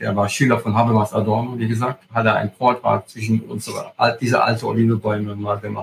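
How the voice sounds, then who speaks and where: At a fairly quick pace, a man speaks with a somewhat breathy, medium-pitched voice and monotone, flat intonation. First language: Italian (speaking German). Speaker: agritourism host and hiking guide. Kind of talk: interview. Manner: halting, with many fillers.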